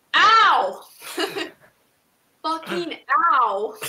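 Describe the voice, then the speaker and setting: A woman puts on a character voice, pitched high and swinging very widely up and down. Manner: indignant, sassy.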